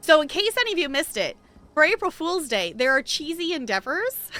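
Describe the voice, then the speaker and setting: A woman's raised, projected voice at a very fast pace, with very wide pitch swings. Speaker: video game streamer. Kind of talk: live game stream chat.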